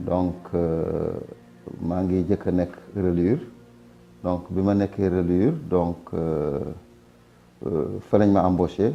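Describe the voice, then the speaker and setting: Speaking very slowly in a Senegalese accent, a man with a very deep, low pitch and a dark, mellow tone keeps his intonation fairly even and leaves long, frequent pauses. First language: Wolof (speaking French). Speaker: retired print worker. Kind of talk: testimony.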